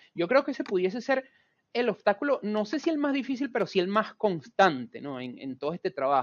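Speaking at a fairly quick pace, a man with a high pitch makes very wide pitch swings and big swings in loudness. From Venezuela. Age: 30s. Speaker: chemical engineer and creative studio director. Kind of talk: interview.

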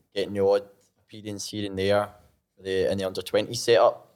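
A voice with a Scottish accent comes through in a very clean recording with a silent background. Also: man. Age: 20s. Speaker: former college soccer player. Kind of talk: casual chat. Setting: studio.

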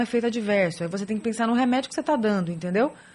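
A woman speaks in a normal speaking voice, fairly high in pitch. Her pitch variation is ordinary. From São Paulo, Brazil. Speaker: rheumatologist. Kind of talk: radio interview. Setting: radio studio.

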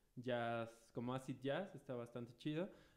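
With a Mexican accent, a man speaks in fairly even intonation. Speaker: radio show co-host. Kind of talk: casual chat.

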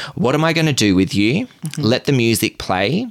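In an Australian accent, a man talks at a moderate pace with very wide pitch swings. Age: 30s. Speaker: podcast host. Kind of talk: storytelling. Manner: animated.

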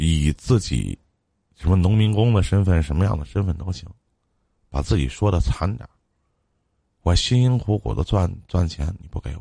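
A man's very deep, low voice, somewhat breathy and dark, mellow in tone, with lively intonation, big swings in loudness and long, frequent pauses. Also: moderate pace. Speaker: radio call-in advice host. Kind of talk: live call-in advice show. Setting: live stream.

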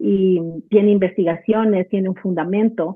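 At a moderate pace, a woman with a normal speaking voice and a medium pitch talks with fairly even intonation. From Ecuador. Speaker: clinical psychologist. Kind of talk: casual interview chat.

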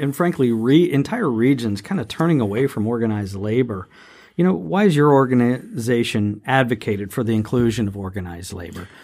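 A man's dark, mellow voice at medium pitch with an American accent, lively intonation and a fairly quick pace, in a very clean recording with a silent background. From southeastern Ohio, Appalachia. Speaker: podcast host, energy consultant. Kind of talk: interview.

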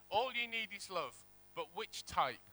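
In a raised, projected voice, a man speaks at an extremely high pitch with a bright, sharp tone. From northeast England. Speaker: guest preacher. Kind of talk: sermon. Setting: church.

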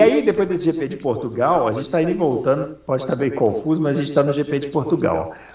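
A man talks in a fairly high voice with ordinary pitch variation. Noticeable background noise runs beneath him. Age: 40s. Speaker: motorsport podcast host. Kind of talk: casual chat.

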